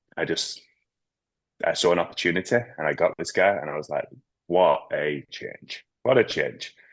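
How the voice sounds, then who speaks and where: The speaker is a man with a Manchester accent. He talks at a moderate pace. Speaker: business owner. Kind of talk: group video call discussion.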